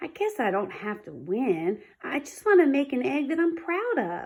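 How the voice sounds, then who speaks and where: A woman's put-on character voice, high in pitch, with very wide pitch swings at a moderate pace. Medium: read story. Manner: earnest, warm.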